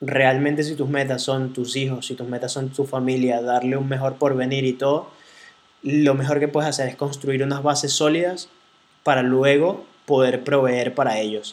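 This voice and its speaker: With a Venezuelan accent, a man delivers his words in a monotone, flat intonation. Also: medium pitch for a man, moderate pace. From Venezuela, Caracas. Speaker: podcast host, entrepreneur. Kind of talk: casual chat.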